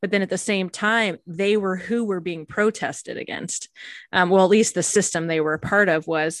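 With a plain, everyday voice, a woman talks at a moderate pace and medium pitch, her intonation fairly even, in a dry, close sound with no echo over a quiet background. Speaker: pastor and podcast host. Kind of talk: casual conversation between mother and daughter.

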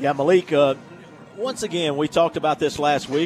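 This man's fairly high voice races along at a very fast pace while noticeable background noise plays behind him. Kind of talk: color commentary, analysis of plays in a football broadcast. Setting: stadium broadcast booth. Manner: conversational, explanatory, animated with filler words.

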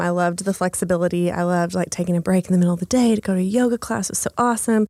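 In an American accent, a woman speaks at a medium pitch with fairly even intonation. The recording is very clean, with a silent background. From Texas, small town. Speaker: coworking space founder. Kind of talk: podcast interview.

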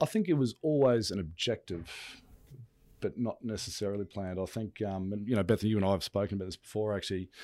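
A man with an Australian accent talks at a very fast pace in a dark, mellow tone and fairly low pitch, with ordinary pitch variation. The recording is very clean and the background silent. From Brisbane, Australia. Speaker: business executive. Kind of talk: interview.

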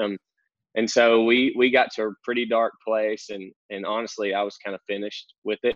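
In a rural Southern US accent, a man speaks at a moderate pace with a fairly low pitch and monotone, flat intonation. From North Central Arkansas. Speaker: church pastor. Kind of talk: casual podcast interview.

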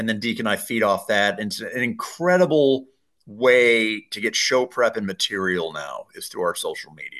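Against a quiet background, a man talks at a moderate pace with big swings in loudness. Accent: American. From Colorado. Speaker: radio host and sports announcer. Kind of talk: interview.

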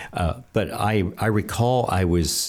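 There is ordinary pitch variation in this man's voice. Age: 70s. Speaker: ministry leader and author. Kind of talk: interview. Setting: studio, in person.

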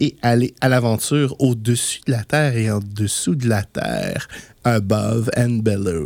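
With a Quebec accent, a man talks at a medium pitch. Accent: Québécois French. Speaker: board game radio show host. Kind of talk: casual radio chat.

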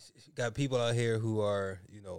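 At a fairly quick pace, a man delivers his words in a monotone, flat intonation. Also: very clean recording, silent background. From Philadelphia, US. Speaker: podcast co-host. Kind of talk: casual chat.

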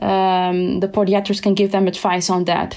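A woman with a Dutch accent, medium in pitch and fairly slow in pace. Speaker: endocrinologist. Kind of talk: expert discussion.

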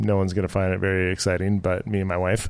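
Here a man speaks at a fairly quick pace in a Canadian accent. The recording is very clean, with a silent background. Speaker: brewery owner. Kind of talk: casual chat. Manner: soft-spoken.

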